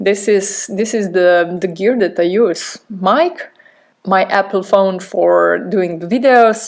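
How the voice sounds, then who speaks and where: In a very clean recording with a silent background, a woman with a non-native accent talks at a very slow pace, her medium pitch showing ordinary variation. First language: not English. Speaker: podcast host. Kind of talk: podcast monologue. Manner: halting.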